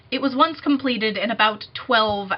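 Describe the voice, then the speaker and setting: This woman speaks in a fairly high pitch with ordinary pitch variation. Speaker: music student and vlogger. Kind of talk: casual vlog. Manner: fast.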